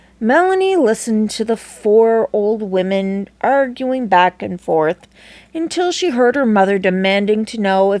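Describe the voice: Someone reads aloud plainly, the intonation staying lively.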